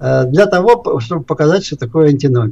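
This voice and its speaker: A man is speaking. His pitch swings very widely. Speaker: philosophy professor. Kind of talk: lecture. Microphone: too quiet at first.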